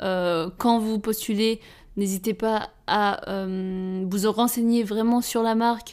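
This woman talks at a medium pitch in a monotone, flat intonation. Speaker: fashion designer. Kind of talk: casual solo monologue.

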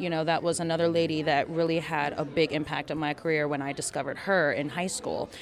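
Over noticeable background noise, a woman with a very deep, low pitch speaks at a fairly quick pace. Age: 30s. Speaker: musical theatre singer. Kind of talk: casual interview.

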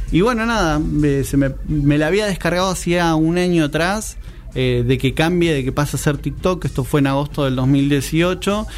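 A fairly high-pitched man at a moderate pace, with ordinary pitch variation, very even loudness, audible room echo and music in the background. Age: 30s. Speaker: tiktoker. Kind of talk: casual chat.

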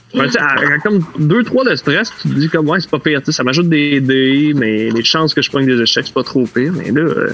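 A man with a Quebec accent talks at a moderate pace with hardly any pauses, fairly high pitch, lively intonation, and very even loudness, over noticeable background noise. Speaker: role-playing game player. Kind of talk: tabletop role-play.

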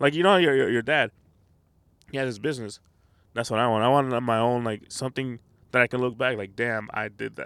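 A man's medium-pitched voice, ordinary in pitch variation, broken by long, frequent pauses. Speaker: podcast host. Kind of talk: casual chat. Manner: casual, joking.

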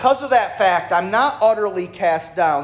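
A man with an American accent speaks fairly slowly in a warm tone with lively intonation. Audible room echo surrounds his voice. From New York. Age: 40s. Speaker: preacher. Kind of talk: fervent church sermon, exhorting a responsive congregation that answers back with amens. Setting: church service. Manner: warm and conversational, with self-deprecating asides; emphatic, rhythmic preaching cadence with repeated phrases, building up intensity.

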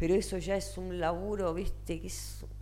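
There is audible room echo around the woman speaking. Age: 60s. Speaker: singer and singing teacher. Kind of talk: interview.

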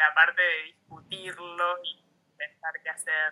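The speaker has an Argentine accent and talks at a very slow pace. The intonation is monotone and flat. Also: woman. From Argentina, Neuquén (Junín de los Andes). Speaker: muralist and artist. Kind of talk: casual interview.

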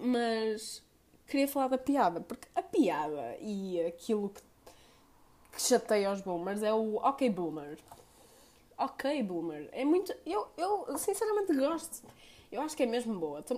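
Her delivery is very slow with long, frequent pauses, as this woman uses a fairly high pitch and very wide pitch swings. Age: 20s. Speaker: podcaster. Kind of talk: solo monologue podcast.

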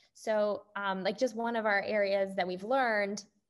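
In a normal speaking voice with a Canadian accent, a woman talks at medium pitch with fairly even intonation. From Canada. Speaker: venture capital investor. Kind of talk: interview.

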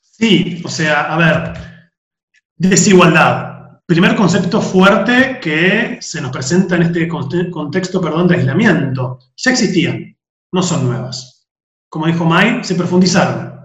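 Audible room echo surrounds a man who talks at a very slow pace in a high pitch with ordinary pitch variation. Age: 30s. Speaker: podcast host, philosophy teacher. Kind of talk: casual chat.

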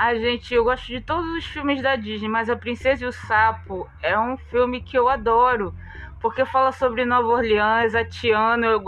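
Music plays in the background as a woman with a fairly high pitch speaks at a moderate pace and with fairly even intonation. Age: 40s. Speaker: community journalist and podcast host. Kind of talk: casual chat. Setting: home, lying in bed.

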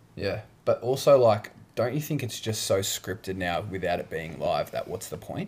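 His pace stays moderate. This man has an Australian accent. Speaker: podcast co-host. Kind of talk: casual chat. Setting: on a couch at home.

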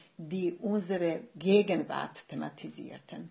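Somewhat breathy, a woman with a Bosnian accent speaks at a fairly low pitch. Her pace is very slow. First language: Bosnian (speaking German). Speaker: writer. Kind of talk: casual chat. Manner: halting.

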